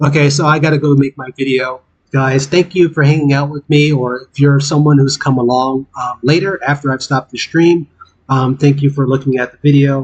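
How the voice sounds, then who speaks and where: Fairly high for a man, this voice moves at a fairly quick pace, somewhat breathy and flat in a monotone delivery. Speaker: gaming streamer. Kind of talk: casual live stream chat. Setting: live stream with game audio. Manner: halting, many fillers.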